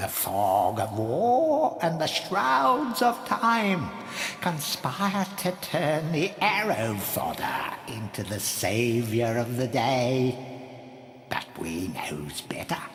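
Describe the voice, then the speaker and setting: A put-on character voice at a low-to-middle pitch goes at a very slow pace, with clear background noise and clear echo. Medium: machinima. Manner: ominous, speaks of itself as 'we'.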